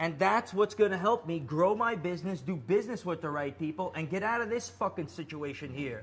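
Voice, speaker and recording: Talking at a fairly quick pace with an American accent, a man with a high pitch sounds animated, his intonation lively. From Azerbaijan, then New York. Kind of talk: casual rant to viewers. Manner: halting, many fillers.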